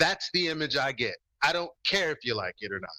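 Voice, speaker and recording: A man speaks with vocal fry and a bright, sharp tone. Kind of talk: heated debate. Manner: halting.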